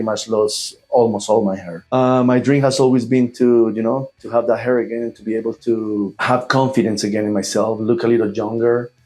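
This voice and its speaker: With a Spanish accent, a man talks at a fairly quick pace and medium pitch. His tone is dark and mellow, his intonation monotone and flat. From Colombia. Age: 40s. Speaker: airline pilot, patient. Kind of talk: testimony. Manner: halting, many fillers.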